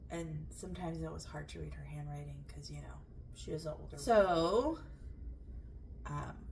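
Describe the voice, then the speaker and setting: Amid audible room echo and noticeable background noise, a woman speaks at a moderate pace with long, frequent pauses and big swings in loudness. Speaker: home cooking video host. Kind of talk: cook-along vlog chat. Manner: casual with frequent fillers.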